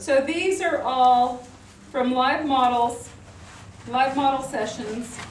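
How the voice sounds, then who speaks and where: Room echo is audible as a woman speaks very slowly at a high pitch. She leaves long, frequent pauses. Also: ordinary pitch variation. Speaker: portrait painter. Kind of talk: lecture. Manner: animated.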